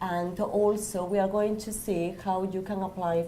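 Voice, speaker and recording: Through noticeable background noise and audible room echo, a woman speaks at medium pitch with fairly even intonation. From Spain. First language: Spanish. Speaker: university staff member. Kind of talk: presentation. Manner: halting.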